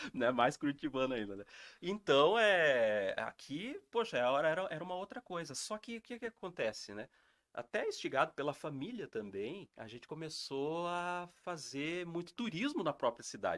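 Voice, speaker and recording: A man talks at a moderate pace, fairly high in pitch, with very wide pitch swings and big swings in loudness. The recording is very clean with a silent background and a dry, close sound with no echo. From interior of São Paulo state (Assis). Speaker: heritage educator. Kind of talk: interview storytelling. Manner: hesitant, many fillers.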